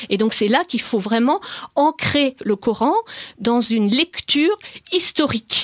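A woman's high-pitched voice with lively intonation, a fairly slow pace, long, frequent pauses and very even loudness, in a dry, close sound with no echo. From France. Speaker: author on the Quran. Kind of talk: radio interview. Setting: studio.

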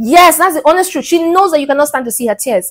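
This woman's voice is high in pitch and swings very widely up and down. The background is quiet. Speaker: dating advice YouTuber. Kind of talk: vlog monologue. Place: home room. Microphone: lapel.

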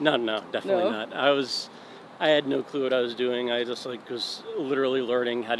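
A man's fairly quick, fairly even-toned delivery, dry and without echo, with noticeable background noise behind it. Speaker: interviewee. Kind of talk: interview answer. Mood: relaxed, friendly. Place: street. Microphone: phone near.

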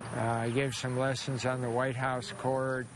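A man's medium-pitched, monotone, flat delivery at a moderate pace, with dry sound with no echo and noticeable background noise. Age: 80s+. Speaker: tennis player and coach. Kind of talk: interview answer. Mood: warm, proud, smiling. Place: open country. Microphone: lapel.

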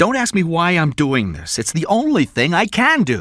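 In a very clean recording with a silent background, a man does a put-on character voice at a fairly high pitch and a moderate pace, with very wide pitch swings. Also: fairly bright tone.

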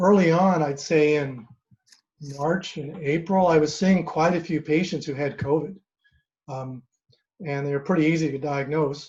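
At a moderate pace, a man talks in a somewhat breathy, fairly high-pitched voice with fairly even intonation. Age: 60s. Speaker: physician. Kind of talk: informal talk at an online meeting. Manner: halting, many fillers. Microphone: microphone problem.

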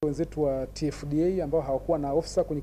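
There is light background noise. Through it, a man talks. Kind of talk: press interview answer. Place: office. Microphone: handheld.

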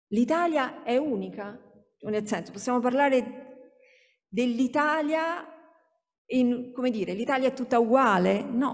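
A woman speaks at a high pitch with ordinary pitch variation and a very slow pace. Long, frequent pauses fill her speech over a quiet background. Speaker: sociologist, university researcher; speaker. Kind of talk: academic conference talk; lecture. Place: hall. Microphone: podium.

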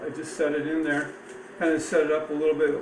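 Background noise is noticeable the whole way through. Over it, a man talks. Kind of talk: tutorial. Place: kitchen. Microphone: phone near.

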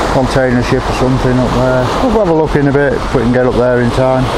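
Someone speaks at a very fast pace over loud background noise. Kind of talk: casual vlog chat. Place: beach. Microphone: camera far.

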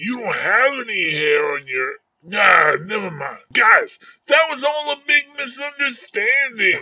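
Shouting in a put-on character voice, a man speaks fairly slowly at an extremely high pitch. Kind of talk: comic character dialogue. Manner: smooth-talking, persuasive, flattering.

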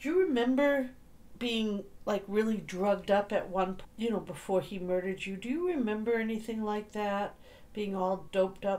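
A woman talks at a moderate pace, her pitch varying in an ordinary way. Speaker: paranormal session host asking questions. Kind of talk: question-and-answer session commentary.

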